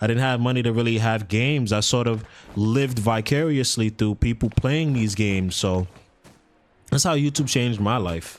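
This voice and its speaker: A man with a New York accent, medium pitch, ordinary pitch variation, a moderate pace and very even loudness. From New York City, the Bronx. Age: 20s. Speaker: YouTuber. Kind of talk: casual vlog monologue. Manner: stuttering, halting.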